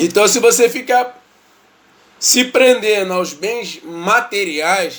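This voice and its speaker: A high-pitched man speaking very slowly, with ordinary pitch variation. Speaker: lay preacher. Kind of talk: bible study livestream.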